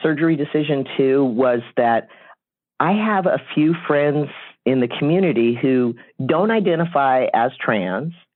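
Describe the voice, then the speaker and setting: A man with a plain, everyday voice, fairly high pitch, lively intonation and very even loudness. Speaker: interviewee sharing coming-out story. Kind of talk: interview.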